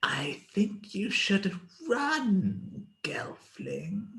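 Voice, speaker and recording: A quiet put-on character voice at a middle pitch. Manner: quiet, creepy.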